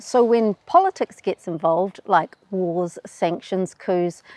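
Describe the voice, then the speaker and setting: A woman with a New Zealand accent speaks in a medium pitch at a fairly slow pace, with a dry, close sound and no echo. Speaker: travel YouTuber. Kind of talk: explainer video.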